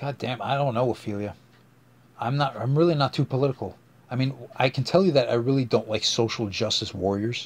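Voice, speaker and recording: Despite long, frequent pauses, a man with a somewhat breathy, medium-pitched voice moves at a fairly quick pace. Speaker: podcast host. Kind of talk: casual solo podcast monologue. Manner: halting, many fillers.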